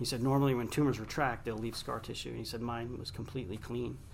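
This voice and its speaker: A man's medium-pitched voice with an American accent, fairly even intonation and audible room echo. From Long Island, New York. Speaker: radio host and author. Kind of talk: interview. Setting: studio.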